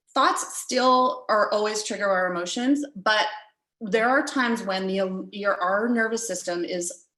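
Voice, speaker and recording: Through audible room echo, a woman speaks at a fairly slow pace. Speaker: riding coach. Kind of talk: lecture. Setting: video call.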